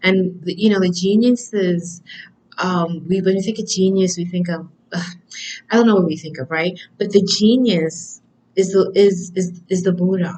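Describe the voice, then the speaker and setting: Her voice is somewhat breathy with a dark, mellow tone, and the woman keeps her intonation fairly even. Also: moderate pace. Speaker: oracle card reader. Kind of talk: oracle card reading.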